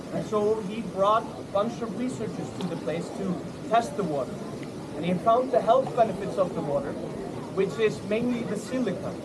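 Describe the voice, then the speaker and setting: Amid audible room echo and noticeable background noise, a man speaks in a high pitch with ordinary pitch variation. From Iceland. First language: Icelandic. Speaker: tour guide. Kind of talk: storytelling to a tour group. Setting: outdoors at a lagoon with a group. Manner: animated.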